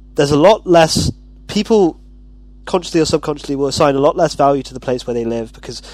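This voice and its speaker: This man's delivery is very fast. Behind him, the background noise is noticeable. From Wirral near Liverpool, England, then British Columbia, Canada. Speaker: university student, podcast panelist. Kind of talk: casual panel discussion.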